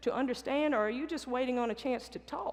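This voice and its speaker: With a Southern accent, a woman speaks at a fairly quick pace in a high pitch and lively intonation. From US South. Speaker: basketball coach. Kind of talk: motivational talk. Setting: stage with audience.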